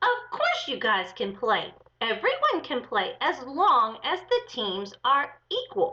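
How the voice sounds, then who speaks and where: A woman performs a squeaky, high-pitched put-on character voice at a fairly slow pace. Her pitch swings very widely. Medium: read story.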